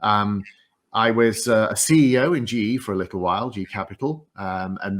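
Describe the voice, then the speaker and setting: On a very clean recording with a silent background, a man speaks with a northeast English accent, his fairly low pitch showing ordinary variation. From northeast England. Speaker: tech executive. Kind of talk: interview. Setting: stage with audience.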